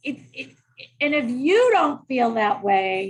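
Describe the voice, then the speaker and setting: Fairly slow speech from a woman with a high pitch. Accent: American. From US Northeast, Boston. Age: 60s. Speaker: human resources executive. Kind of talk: interview conversation. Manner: loud.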